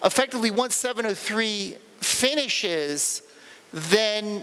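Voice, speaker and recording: A high-pitched man with lively intonation, over noticeable background noise. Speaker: conference speaker. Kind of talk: technical talk Q&A. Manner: halting, repetitive.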